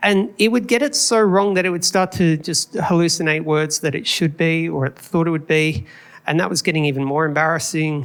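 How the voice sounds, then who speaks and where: A man talks at a fairly quick pace with an Australian accent. His pitch is high, with ordinary variation. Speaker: conference speaker, video engineer. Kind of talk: conference talk. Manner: casual, conversational.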